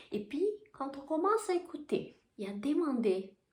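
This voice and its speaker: Very wide pitch swings in a Portuguese accent. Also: woman. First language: Portuguese (speaking French). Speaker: spiritual coach and Reiki teacher. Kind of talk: casual spiritual vlog talk. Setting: bedroom. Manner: halting, with repetitions.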